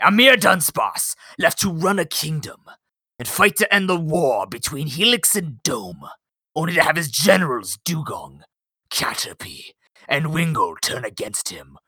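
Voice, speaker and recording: In a put-on character voice, a man speaks high with lively intonation and big swings in loudness. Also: moderate pace. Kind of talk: Victorian, dramatic. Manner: theatrical, pompous.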